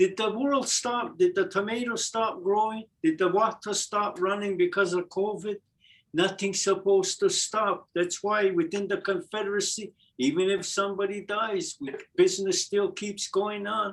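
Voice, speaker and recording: Speaking at a moderate pace, a man has a high pitch for a man with ordinary pitch variation. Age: 70s. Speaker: Mohawk language teacher. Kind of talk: language class discussion.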